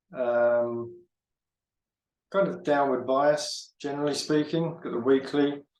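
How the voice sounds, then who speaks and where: This man's pitch is fairly high, and his pace is fairly slow. Room echo can be heard. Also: long, frequent pauses. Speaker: forex trader and market analyst. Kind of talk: trading tutorial. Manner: halting, many fillers and repeats.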